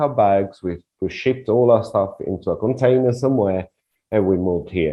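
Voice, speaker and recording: The voice has an Italian accent and lively intonation. It moves at a moderate pace. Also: man. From Italy (Rome). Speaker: relocation consultant. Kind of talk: interview. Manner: halting.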